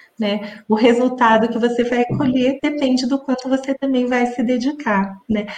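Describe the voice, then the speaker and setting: With hardly any pauses, a woman talks at a moderate pace in a high pitch and fairly even intonation. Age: 40s. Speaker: entrepreneur, food allergy company owner. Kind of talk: interview. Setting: live stream.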